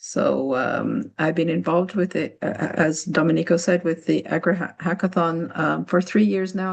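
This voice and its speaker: Her pitch fairly low, a woman speaks at a moderate pace with vocal fry and ordinary pitch variation. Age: 60s. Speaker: program director of a nonprofit. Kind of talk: webinar presentation. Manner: halting, many fillers.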